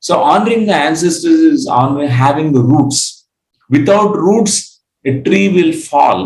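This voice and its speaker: A man with a Telugu accent speaks at a fairly slow pace and fairly high pitch. His pitch swings very widely while his loudness stays very even. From India, Andhra Pradesh. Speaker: spiritual teacher. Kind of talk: lecture. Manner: halting, frequent fillers.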